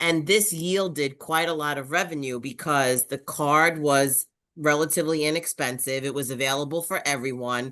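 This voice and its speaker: A woman's very deep, low voice with a bright, sharp tone, ordinary pitch variation and a moderate pace, against a quiet background. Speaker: parent leader. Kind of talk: webinar participant comment.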